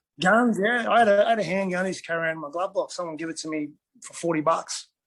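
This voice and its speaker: Mumbling at a very fast pace, a man with an Australian accent speaks at a high pitch with ordinary pitch variation. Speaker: retired MMA fighter. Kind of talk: casual interview chat.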